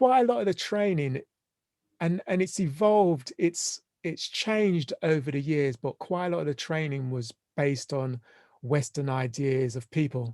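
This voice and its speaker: Someone speaks at a moderate pace in a London accent. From London, England. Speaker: family and systemic therapist. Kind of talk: podcast interview. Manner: halting.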